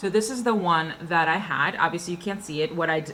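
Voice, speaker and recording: A woman's fairly low-pitched voice with ordinary pitch variation, over noticeable background noise. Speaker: beauty vlogger. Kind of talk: casual product review monologue. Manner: fast.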